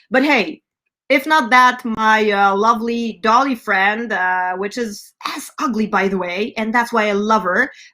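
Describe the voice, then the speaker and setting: In an American accent, a woman speaks at a moderate pace with a fairly high pitch and ordinary pitch variation. Her tone is bright, sharp and animated. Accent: slight German accent at times. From California. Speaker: rock band front woman and show host. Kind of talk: live stream announcements. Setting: online live stream. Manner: animated, many filler words.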